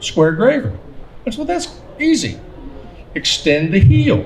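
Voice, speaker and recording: Noticeable background noise sits behind a man with an American accent whose pitch swings very widely. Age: 60s. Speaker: engraver and artist giving a seminar. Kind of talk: seminar talk. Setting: seminar at a gunmakers fair. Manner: conversational, with some hesitations.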